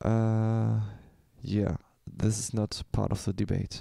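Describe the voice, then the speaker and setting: Fairly low-pitched male voice with a German accent, dark and mellow in tone, dry and close with no echo. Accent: German accent, self-described bad English. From Germany. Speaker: beat maker, live streamer. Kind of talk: casual live stream talk. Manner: halting, many fillers.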